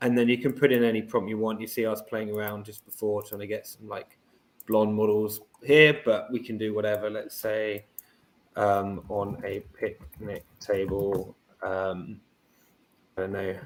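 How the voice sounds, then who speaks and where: Speaking in a British accent, a man keeps a moderate pace and fairly even intonation at a fairly low pitch. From Britain. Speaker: startup CEO. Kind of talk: podcast interview with product demo.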